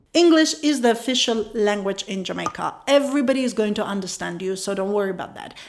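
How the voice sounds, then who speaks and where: A fairly high-pitched woman at a very fast pace, against noticeable background noise. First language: Ukrainian. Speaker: travel vlogger. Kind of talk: travel tips talk. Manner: casual, with fillers.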